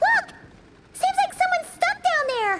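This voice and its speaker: An extremely high, squeaky put-on character voice. It moves at a moderate pace. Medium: video game.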